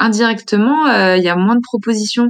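This very clean recording captures a woman speaking against a silent background. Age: 20s. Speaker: media co-founder living with multiple sclerosis. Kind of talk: personal testimony. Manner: hesitant, many fillers.

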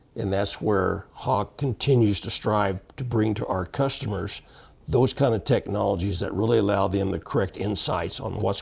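A man with an American accent speaks at a fairly quick pace in a somewhat breathy voice. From Texas panhandle. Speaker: water quality industry veteran. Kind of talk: interview.

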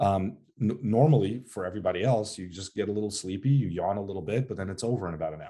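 A man's fairly low, dark, mellow voice at a very fast pace, with ordinary pitch variation and big swings in loudness. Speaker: psychiatrist and sleep doctor. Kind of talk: interview conversation. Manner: frequent fillers and restarts.

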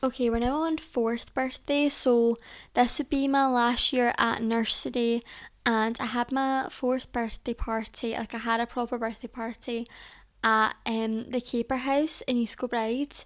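Speaking in a Scottish accent, a woman uses a high pitch and a monotone, flat intonation at a fairly slow pace. The recording is very clean with a silent background. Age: 20s. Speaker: podcast host. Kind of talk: casual solo chat.

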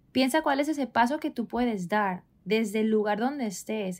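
In an ordinary speaking voice, a woman talks at a moderate pace with a fairly high pitch, on a very clean recording with a silent background. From Spain, Barcelona. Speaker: wellness coach, podcast co-host. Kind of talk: casual conversational podcast.

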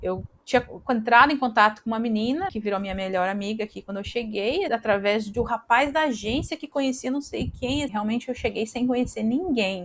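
A woman's fairly high voice with ordinary pitch variation, at a fairly quick pace with hardly any pauses. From southern Brazil, Paraná (Campo Largo near Curitiba). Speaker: Brazilian immigrant in Australia. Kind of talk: casual interview. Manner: halting, repeats words.

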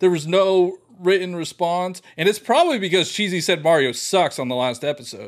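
Pitch shifts in an ordinary way. The speech goes at a moderate pace. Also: man, high pitch for a man. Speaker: gaming podcast co-host. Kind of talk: casual chat.

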